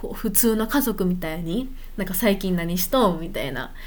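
A woman's voice in audible room echo. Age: 20s. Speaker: podcaster. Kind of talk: casual monologue. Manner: unscripted, hesitant.

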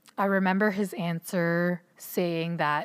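In a very clean recording with a silent background, a woman with a Canadian accent speaks at a very slow pace in a fairly low pitch. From Ontario, Canada (Filipino immigrant household). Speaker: podcast host. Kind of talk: solo podcast monologue.

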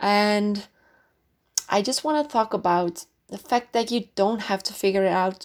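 A woman with a Dutch accent speaks at a fairly slow pace and a fairly high pitch with ordinary variation. The recording is very clean, with a silent background. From Netherlands, near Amsterdam. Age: 20s. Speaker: podcast host. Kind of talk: casual monologue. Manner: hesitant, many fillers.

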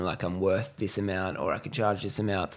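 A man talks at a fairly quick pace. He speaks with an Australian accent. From Western Australia (Perth, Cocos Islands). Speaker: e-commerce entrepreneur, agency owner. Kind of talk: casual interview chat.

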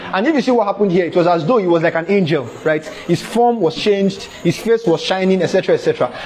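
Over noticeable background noise, a man talks at a fairly quick pace in a high pitch with lively intonation. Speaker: preacher. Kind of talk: fervent preaching. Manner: repetitive, emphatic, fervent; loud, exhorting.

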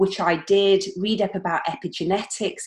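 A woman's slightly mellow, fairly low voice at a moderate pace, with fairly even intonation.

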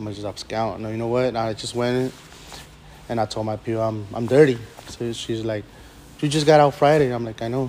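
Amid noticeable background noise, a man at medium pitch speaks fairly quickly with fairly even intonation, long, frequent pauses and big swings in loudness. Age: 30s. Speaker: recovering alcoholic, former prisoner. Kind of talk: testimony. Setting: meeting room with audience.

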